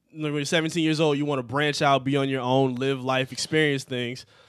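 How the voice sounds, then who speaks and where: With an ordinary speaking voice and an American accent, a man talks at a fairly quick pace in a fairly high pitch and fairly even intonation, against a quiet background. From Michigan, Detroit suburbs. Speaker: podcast co-host. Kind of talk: casual chat.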